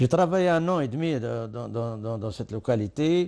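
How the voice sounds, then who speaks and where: In an Arabic accent, a man speaks with a dark, mellow tone. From Algeria, Oued Souf. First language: Arabic (speaking French). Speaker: war veteran. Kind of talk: testimony. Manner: halting.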